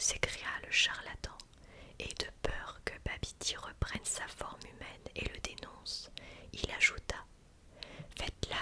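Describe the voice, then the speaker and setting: A woman is whispering at a fairly slow pace. Noticeable background noise runs underneath. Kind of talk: whispered ASMR story reading. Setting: close microphone studio recording. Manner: whispered, soft, slow.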